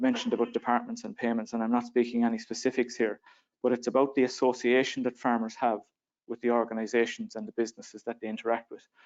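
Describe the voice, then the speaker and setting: A man with an Irish accent, very fast and monotone, his flat intonation sitting at a medium pitch. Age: 30s. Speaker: young farmer and panellist. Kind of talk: panel discussion. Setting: conference stage with audience.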